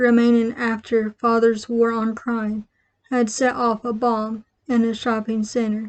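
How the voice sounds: Quiet background behind a natural reading voice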